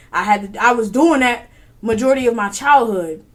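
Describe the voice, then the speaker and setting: Over music in the background, the speaker has an animated tone with ordinary pitch variation. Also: woman. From US, from an immigrant family. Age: 20s. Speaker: podcast host. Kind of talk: casual solo podcast talk.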